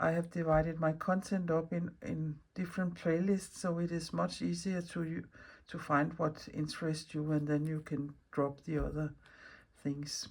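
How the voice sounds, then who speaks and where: A woman with a Danish accent, very deep and low in pitch, in a flat monotone at a moderate pace, on a very clean recording with a silent background. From Denmark. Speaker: mixed media artist, craft video maker. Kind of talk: casual craft vlog talk. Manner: halting, with fillers and restarts.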